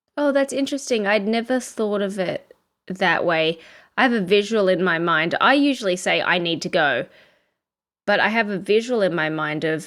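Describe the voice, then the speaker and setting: Lively intonation and a moderate pace mark this speaker with an Australian accent, heard on a very clean recording with a silent background. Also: woman. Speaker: podcast co-host. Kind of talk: casual chat.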